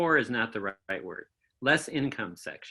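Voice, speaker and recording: A man with a US Midwestern accent speaks in a bright, sharp tone. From Michigan, US Midwest. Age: 70s. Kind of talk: oral history interview. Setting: video call.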